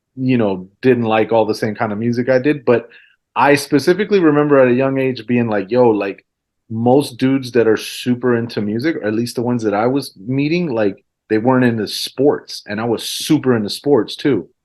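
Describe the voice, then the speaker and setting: This man speaks with a Spanish accent at a fairly quick pace. His voice is medium in pitch, with ordinary pitch variation. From Central Florida, born in Mexico City. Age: 40s. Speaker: DJ and hip-hop artist. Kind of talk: casual chat.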